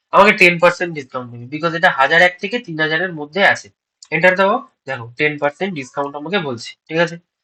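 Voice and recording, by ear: Speaking at a very fast pace, a man has a fairly high pitch, a bright, sharp tone and ordinary pitch variation.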